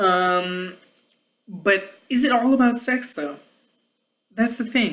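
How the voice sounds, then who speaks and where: Speaking very slowly with long, frequent pauses, a woman uses lively intonation at a fairly high pitch. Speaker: YouTube commentary vlogger. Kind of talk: casual monologue vlog. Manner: rambling, hesitant.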